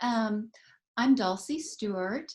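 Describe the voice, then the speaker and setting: A somewhat breathy woman's voice at a very slow pace, fairly high in pitch, with lively intonation. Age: 60s. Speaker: brand ambassador, retired teacher and artist. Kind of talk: self-introduction in live chat.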